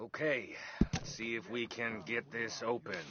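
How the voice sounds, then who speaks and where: A man speaks in a raspy, put-on character voice. His pitch is medium and his pace moderate. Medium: video game. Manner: drawling, sarcastic.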